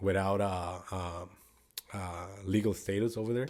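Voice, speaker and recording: With a Spanish accent, a man with a fairly low voice talks at a fairly slow pace. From Guatemala. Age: 20s. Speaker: actor and singer. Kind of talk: interview. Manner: halting.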